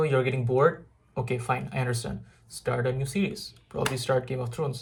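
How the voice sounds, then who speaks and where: A man's somewhat breathy voice at medium pitch, with fairly even intonation. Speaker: IELTS tutor. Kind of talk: tutorial. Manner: low energy.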